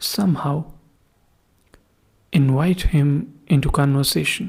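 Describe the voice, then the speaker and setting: A somewhat breathy woman's voice, very deep and low in pitch, with ordinary pitch variation. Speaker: podcast host. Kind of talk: first-person horror story reading.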